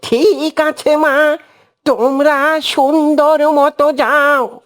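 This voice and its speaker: This is a cartoonish character voice with fairly even intonation. The pace is very slow. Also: woman, high pitch for a woman. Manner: calm, fatherly.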